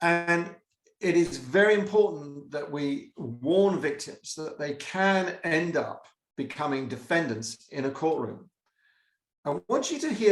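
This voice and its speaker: A man speaks in an ordinary speaking voice at a fairly high pitch. He goes fairly slowly, with ordinary pitch variation. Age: 60s. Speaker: retired prosecutor, presenter. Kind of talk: presentation.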